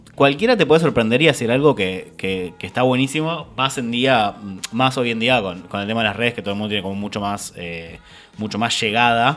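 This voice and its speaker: A man with a Rioplatense accent at a fairly quick pace, with noticeable background noise. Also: medium pitch for a man, ordinary pitch variation. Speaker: podcast host. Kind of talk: casual chat.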